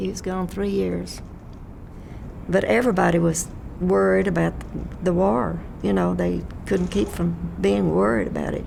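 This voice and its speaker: A woman with a Texan accent speaks at a fairly slow pace, leaving long, frequent pauses. Audible room echo surrounds her voice. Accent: Texan Southern US. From Texas, Fort Worth area. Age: 90s. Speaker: elderly resident sharing memories. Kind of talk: oral history interview. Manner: halting.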